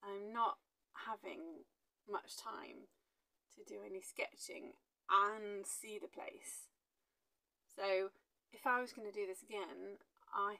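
The pace is very slow. The speaker is a woman. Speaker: travel sketching vlogger. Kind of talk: casual vlog chat. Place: home room. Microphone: lapel.

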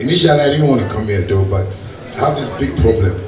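A man talks in a rather low register while noticeable noise runs in the background. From Ghana. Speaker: musician. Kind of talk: public address to a politician. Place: hall.

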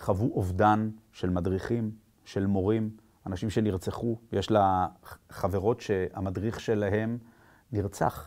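Against a quiet background, a man speaks very slowly in a fairly low, monotone voice with a dark, mellow tone and long, frequent pauses. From Israel. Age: 50s. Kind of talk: personal testimony at a conference. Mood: serious, concerned. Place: studio.

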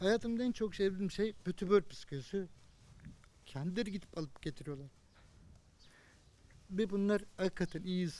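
The man's voice is high in pitch with a dark, mellow tone. His pitch variation is ordinary and his pace is moderate. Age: 50s. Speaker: Covid-19 survivor. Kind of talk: interview answer.

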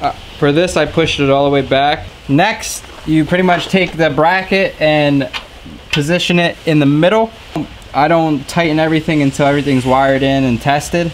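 With light background noise behind him, a man talks at a moderate pace, his intonation fairly even and his loudness very even. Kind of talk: tutorial. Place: garage. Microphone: camera far.

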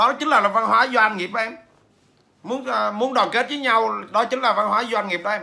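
His voice is raised and projected, pitched high for a man. He talks at a moderate pace. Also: ordinary pitch variation. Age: 40s. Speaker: business trainer and author; business trainer. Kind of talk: livestream talk to viewers; livestream talk answering viewers. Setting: livestream. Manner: hesitant, many fillers. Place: home room. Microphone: phone near.

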